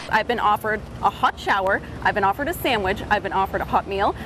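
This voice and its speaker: Noticeable background noise runs under a woman talking at a very fast pace. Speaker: television news reporter. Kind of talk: broadcast news reporting, on-location live reports.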